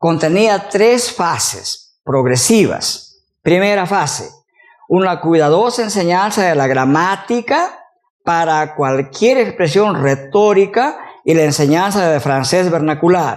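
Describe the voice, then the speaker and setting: Audible room echo surrounds a high-pitched man talking at a very slow pace. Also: lively intonation. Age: 60s. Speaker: university professor, teacher trainer. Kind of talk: lecture.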